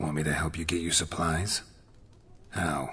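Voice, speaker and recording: This man uses a put-on character voice, raspy and very deep in pitch. His intonation is flat and monotone, and his pace is moderate. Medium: video game. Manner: terse, dry.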